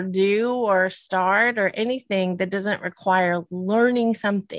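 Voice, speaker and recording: A woman with a Southern US accent speaks at a very slow pace, her medium pitch held in fairly even intonation. The recording is very clean with a silent background, and the sound is dry and close with no echo. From US South. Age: 50s. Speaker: podcast co-host. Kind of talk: casual chat. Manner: giggly.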